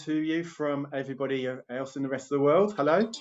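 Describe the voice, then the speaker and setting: A man is speaking. He has a Birmingham accent. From England. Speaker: health coach and show host. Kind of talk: online interview show. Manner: animated.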